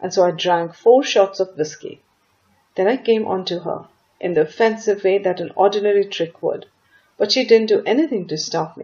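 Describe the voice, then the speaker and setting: A woman speaks at a medium pitch and a moderate pace, with an ordinary speaking voice. Her intonation is lively. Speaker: voice actor. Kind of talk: audiobook story reading.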